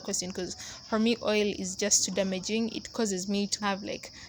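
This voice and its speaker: A woman talks at a moderate pace, her intonation fairly even. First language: not English. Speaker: hair care vlogger. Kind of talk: casual tutorial voiceover. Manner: casual, conversational.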